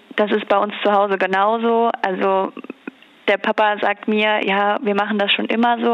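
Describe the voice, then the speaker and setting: Against noticeable background noise, a woman speaks at medium pitch in a flat monotone. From Rheinhessen, Germany. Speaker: young winemaker and regional wine queen. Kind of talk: interview.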